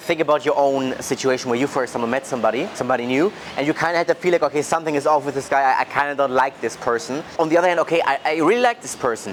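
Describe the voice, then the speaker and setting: Amid noticeable background noise, a man with a fairly high pitch speaks at a very fast pace with hardly any pauses. His pitch variation is ordinary. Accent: German. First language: German. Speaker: sales coach vlogger. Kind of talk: casual vlog monologue.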